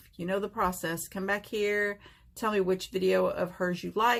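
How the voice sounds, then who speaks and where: A woman with a plain, everyday voice speaks at a medium pitch and a moderate pace on a very clean recording with a silent background. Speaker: nail art YouTuber. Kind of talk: tutorial and giveaway chat.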